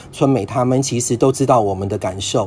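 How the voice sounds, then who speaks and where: Speaking at a medium pitch, a man uses ordinary pitch variation while noticeable background noise runs underneath. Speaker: long-term HIV patient. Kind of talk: casual chat.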